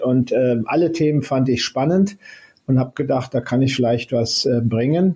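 A man speaks at a moderate pace and a medium pitch. His tone is dark and mellow, and somewhat breathy. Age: 60s. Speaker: space agency head, former university president. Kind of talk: interview. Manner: hesitant, many filler sounds.

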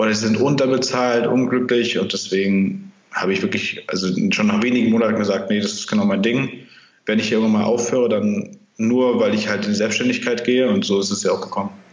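Amid audible room echo, a man with a medium pitch talks at a fairly quick pace with fairly even intonation. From northern Germany, Kiel. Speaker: marketing agency founder. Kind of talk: interview.

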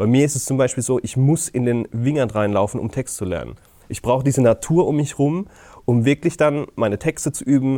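In a dark, mellow tone, a man of medium pitch speaks at a fairly quick pace with ordinary pitch variation. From Palatinate (Deidesheim), Germany. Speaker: comedian. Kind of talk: casual chat. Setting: theater venue.

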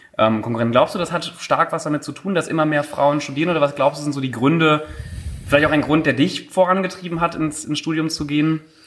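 Fairly high-pitched and with fairly even intonation, a man talks at a very fast pace. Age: 20s. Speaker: podcast co-host. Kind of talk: casual chat.

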